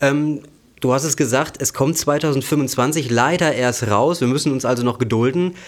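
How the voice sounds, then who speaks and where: A man with an ordinary speaking voice, fairly high pitch, ordinary pitch variation and very even loudness, on a very clean recording with a silent background. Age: 20s. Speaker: finance podcast host. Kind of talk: news reading.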